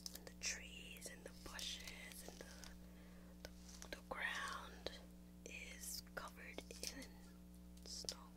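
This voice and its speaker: Over loud background noise, a woman talks at a very slow pace with long, frequent pauses. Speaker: vlogger. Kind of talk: casual vlog chat. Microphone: webcam.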